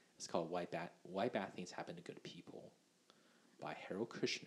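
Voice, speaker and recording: Whispering, a man speaks at a moderate pace. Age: 20s. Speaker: medical student podcast co-host. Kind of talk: casual chat.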